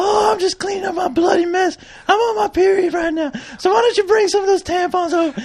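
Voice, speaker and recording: A put-on character voice at an extremely high pitch races along at a very fast pace. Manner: comedic, mocking.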